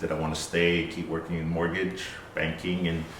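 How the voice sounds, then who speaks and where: Over audible room echo, a man with an American accent talks at a fairly quick pace in a very deep, low pitch and monotone, flat intonation. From South Pacific (American Samoa, Western Samoa). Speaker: barber. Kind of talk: personal story interview. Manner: hesitant, many fillers.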